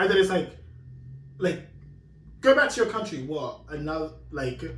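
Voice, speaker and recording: A high-pitched man with an English accent, very wide pitch swings and a moderate pace, set in audible room echo. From London, England. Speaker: podcast host. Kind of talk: casual chat.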